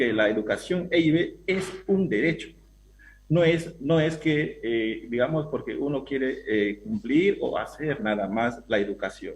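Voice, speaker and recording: A man's fairly high voice with vocal fry, lively intonation and a fairly slow pace. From Peruvian Amazon, Awajún people. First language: Awajún (speaking Spanish). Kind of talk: panel discussion. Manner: halting.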